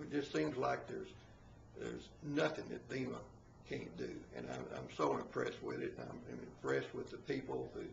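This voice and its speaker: The pace here is moderate. A man's voice carries audible room echo. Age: 60s. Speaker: MLM distributor giving product testimonial. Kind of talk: testimony. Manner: halting, many fillers.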